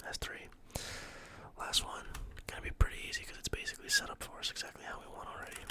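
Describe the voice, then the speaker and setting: A man whispers while noticeable background noise fills the recording. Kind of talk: ASMR tutorial, teaching how to solve a Rubik's cube. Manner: whispered, soft-spoken.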